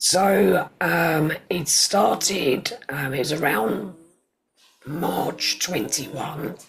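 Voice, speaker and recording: A man speaks very slowly in a fairly high voice with a southern English accent. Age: 40s. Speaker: cancer survivor. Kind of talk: interview.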